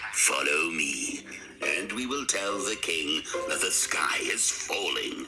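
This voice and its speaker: A man in a cartoonish character voice at a fairly slow pace, over clear background noise. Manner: smooth, wheedling.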